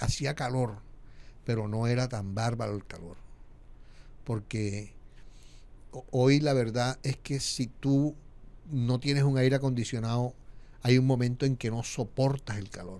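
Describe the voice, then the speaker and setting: A man's medium-pitched voice with a dark, mellow tone, fairly even intonation, a fairly slow pace, big swings in loudness and long, frequent pauses. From Colombia, Montería (Córdoba), Caribbean coast. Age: 60s. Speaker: media founder and communicator. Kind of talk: podcast interview.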